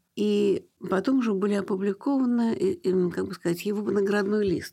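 The pace is moderate. The tone is dark and mellow. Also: woman. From Russia, Leningrad. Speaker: museum founder. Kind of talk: radio interview.

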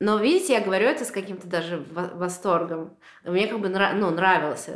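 A woman's medium-pitched voice, with ordinary pitch variation, carries audible room echo. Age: 30s. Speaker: painter. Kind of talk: casual chat. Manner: animated.

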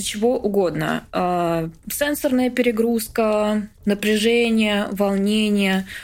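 On a very clean recording with a silent background, a woman talks at a very slow pace, her medium pitch showing ordinary pitch variation. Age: 20s. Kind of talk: interview. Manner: halting.

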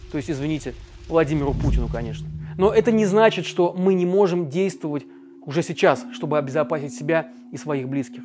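With music in the background, a man at a fairly high pitch talks at a fairly quick pace, taking long, frequent pauses, his pitch variation ordinary. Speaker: journalist, video commentator. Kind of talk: scripted video commentary. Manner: emphatic.

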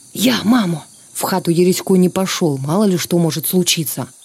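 A woman speaks at a moderate pace in a fairly low voice, her tone dramatic. Music plays in the background. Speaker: TV presenter reading aloud. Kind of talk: reading aloud a 1944 war sketch, solemn narration of partisan combat and reprisals. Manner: measured, grave, formal; tense, dramatic, narrating with restrained emotion.

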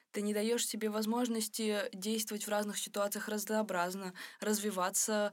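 Here a woman talks at a medium pitch and a moderate pace. Her intonation stays monotone and flat. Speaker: podcast co-host. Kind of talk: casual chat. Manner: halting.

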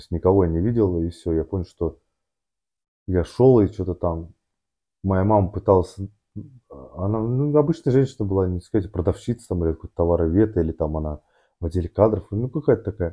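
A man with a very deep, low voice talks at a fairly quick pace but leaves long, frequent pauses. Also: ordinary pitch variation. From Moscow region, Russia. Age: 30s. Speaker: amateur endurance athlete and businessman. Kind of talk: casual interview, life story. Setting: studio, sitting opposite host. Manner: halting, many fillers and restarts.

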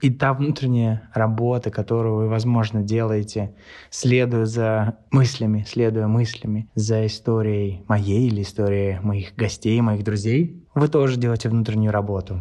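In a quiet setting, a man with a medium pitch and a dark, mellow tone speaks at a fairly slow pace with very even loudness. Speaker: podcast host. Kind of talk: casual interview chat.

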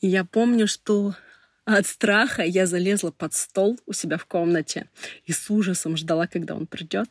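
With a normal speaking voice at a medium pitch, a woman talks at a moderate pace with ordinary pitch variation, in a very clean recording with a silent background and a dry, close sound with no echo. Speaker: PR specialist. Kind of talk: personal testimony.

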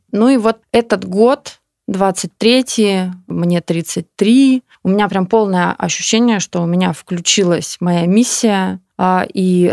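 The recording is very clean, with a silent background and a dry, close sound free of echo. A woman speaks with ordinary pitch variation. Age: 30s. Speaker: yoga studio founder and owner. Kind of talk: casual interview chat. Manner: halting, many fillers and restarts.

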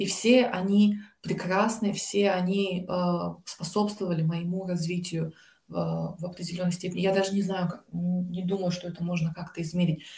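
A woman at medium pitch speaks with monotone, flat intonation. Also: moderate pace. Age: 20s. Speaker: graduate student and volunteer. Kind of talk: interview.

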